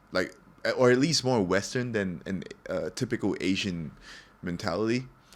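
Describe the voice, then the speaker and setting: Speaking in an American accent, a man keeps his pitch fairly low. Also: ordinary pitch variation, moderate pace. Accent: American-ish. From Singapore. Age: 20s. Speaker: podcast guest. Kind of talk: casual chat.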